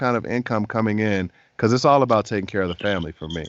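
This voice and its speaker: A man with an American accent talks at a very fast pace in an animated tone. His pitch is medium, with ordinary pitch variation. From Chicago, US Midwest. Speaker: voice actor. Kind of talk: interview.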